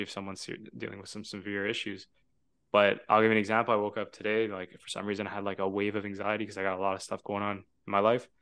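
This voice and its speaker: A man's fairly low, bright, sharp voice at a very fast pace, with monotone, flat intonation and a quiet background. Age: 20s. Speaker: podcast host. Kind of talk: casual chat.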